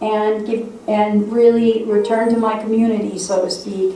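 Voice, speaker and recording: A woman with an Upper Midwest accent and a fairly high pitch, amid noticeable background noise and audible room echo. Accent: Upper Midwest American. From South Dakota, Sioux Falls. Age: 60s. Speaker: state legislator. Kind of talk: speech to a congregation.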